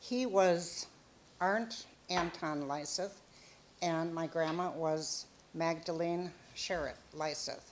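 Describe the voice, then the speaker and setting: A woman with a Minnesota accent and a fairly low pitch. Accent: Upper Midwest American (Minnesota). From Minnesota, US Upper Midwest. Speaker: grandmother telling life story. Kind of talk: oral history storytelling.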